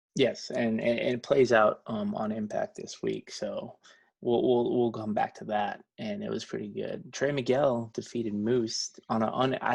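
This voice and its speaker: Against a quiet background, a man talks with hardly any pauses. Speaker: wrestling podcast host. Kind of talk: casual chat. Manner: fast.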